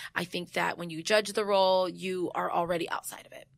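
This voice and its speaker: A woman with a Californian accent speaks in an animated tone at a medium pitch. The recording is very clean, with a silent background. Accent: General American, Californian. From US West Coast, San Jose, California. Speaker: actress, writer and director of a web series. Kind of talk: casual interview. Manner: animated, laughs often.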